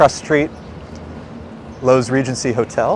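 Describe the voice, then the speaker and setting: There is noticeable background noise behind this recording. A man with an American accent speaks at a fairly quick pace. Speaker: livestream walking tour host. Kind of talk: casual walking commentary. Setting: outdoors, walking on city streets.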